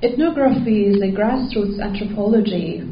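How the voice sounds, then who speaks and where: Amid noticeable background noise and audible room echo, the speech proceeds at a moderate pace with fairly even intonation. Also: woman. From Iran. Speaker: PhD researcher. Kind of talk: conference presentation. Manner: halting.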